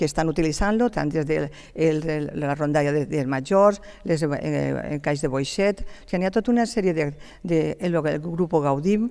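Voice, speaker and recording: Over a quiet background, a woman speaks at a fairly slow pace. Her tone is dark and mellow, her intonation lively. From Gandia, Valencian Community. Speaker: city councillor. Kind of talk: heated debate. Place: studio. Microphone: headset.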